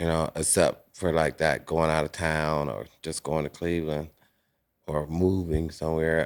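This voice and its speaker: A man's very deep, low voice in monotone, flat intonation at a moderate pace, on a very clean recording with a silent background. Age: 60s. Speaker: formerly incarcerated person. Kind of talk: casual chat.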